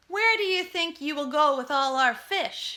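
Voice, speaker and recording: A woman's put-on character voice, extremely high in pitch, with hissing, at a moderate pace. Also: lively intonation. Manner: angry.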